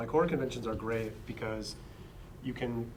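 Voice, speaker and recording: Speech comes at a fairly quick pace with fairly even intonation. Audible room echo and noticeable background noise fill the recording. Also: man. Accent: American. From Pennsylvania, US. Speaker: horror author, panelist. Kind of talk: convention panel discussion. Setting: panel at a book convention.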